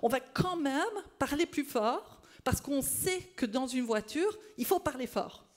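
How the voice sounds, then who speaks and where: A loud woman at a fairly slow pace, with very wide pitch swings. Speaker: speech-language pathology researcher. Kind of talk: conference talk. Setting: stage with audience.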